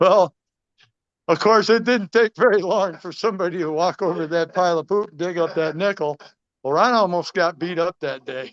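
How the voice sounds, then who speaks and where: A high-pitched male voice with ordinary pitch variation and big swings in loudness, dry and close with no echo. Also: moderate pace. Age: 60s. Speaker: gold prospecting business owner. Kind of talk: eulogy at a memorial. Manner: halting.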